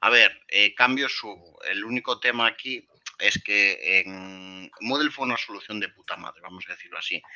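Fairly slow pace, medium pitch and ordinary pitch variation from a man with a normal speaking voice. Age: 20s. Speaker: WordPress consultant and trainer. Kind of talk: interview.

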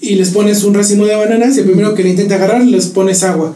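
Amid noticeable background noise and audible room echo, a man with a high pitch talks at a fairly quick pace. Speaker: podcast host. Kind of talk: casual chat.

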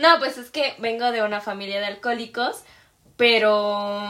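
A woman talks at a fairly slow pace with a Mexican accent. Her fairly high voice has a bright, sharp tone. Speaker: podcast co-host. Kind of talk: casual chat.

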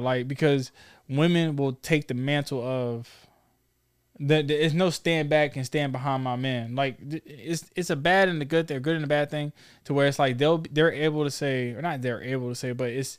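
A man with a normal speaking voice and fairly high pitch talks at a moderate pace with fairly even intonation, recorded very cleanly against a silent background. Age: 30s. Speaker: podcast host. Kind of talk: casual chat.

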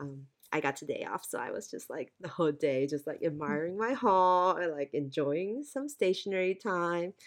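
A hoarse, raspy woman with an American accent talks at a moderate pace, her pitch swinging very widely. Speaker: podcast host. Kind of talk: casual chat. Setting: video call.

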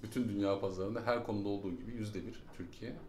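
Talking very fast in a fairly low pitch, a man keeps his intonation fairly even, with audible room echo. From Germany, moved to Turkey at 11-12. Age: 40s. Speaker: startup founder. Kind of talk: casual interview.

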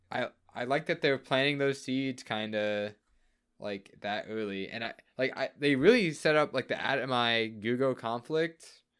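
With an American accent, a man talks at a moderate pace in an ordinary speaking voice, his medium pitch showing ordinary pitch variation. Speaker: podcast host. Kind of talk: casual chat. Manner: joking.

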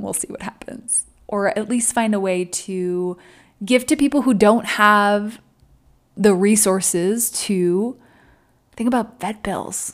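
A woman's unremarkable speaking voice, medium in pitch, at a fairly slow pace with fairly even intonation. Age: 30s. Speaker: podcast host. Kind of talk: casual solo monologue.

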